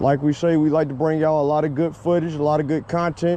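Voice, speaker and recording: With an American accent, a man speaks at a fairly quick pace, his fairly high pitch held in a monotone, flat intonation. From US South, Roanoke, Virginia. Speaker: vlogger. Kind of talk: casual vlog narration. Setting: outdoors, riding a scooter on a trail. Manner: casual, conversational.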